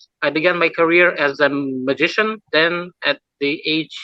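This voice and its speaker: Speaking very slowly, a man with a Lithuanian accent has a fairly high voice and a bright, sharp tone. The sound is dry and close, with no echo. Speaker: mentalist. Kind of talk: interview. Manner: halting.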